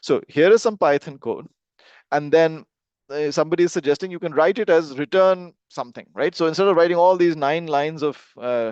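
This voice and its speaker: The speech moves at a fairly quick pace against a quiet background. The sound is dry and close, with no echo. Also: man. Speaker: course instructor. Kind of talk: live online lecture. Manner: fast when excited; many filler words and hesitations.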